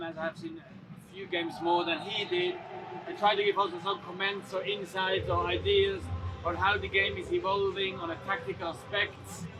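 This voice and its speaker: With music playing in the background, a man speaks in a high pitch and a flat, monotone intonation. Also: moderate pace. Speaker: sports co-commentator. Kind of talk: interview answer.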